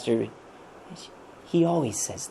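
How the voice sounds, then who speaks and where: A man whispers in a put-on character voice, soft-spoken and breathy. Light background noise sits behind him. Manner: whispering.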